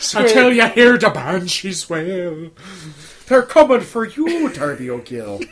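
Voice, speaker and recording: A high-pitched man speaks at a fairly slow pace over noticeable background noise. His pitch swings very widely and his loudness varies a great deal. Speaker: podcast co-host. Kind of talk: casual comedic chat.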